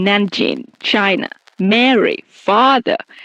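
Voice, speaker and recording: A woman speaks with a non-native accent at medium pitch with ordinary pitch variation. The sound is dry and close, with no echo. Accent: non-native English, trouble with R and th. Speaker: podcast host. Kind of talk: casual chat. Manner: slow, careful pace; stumbling, halting at times.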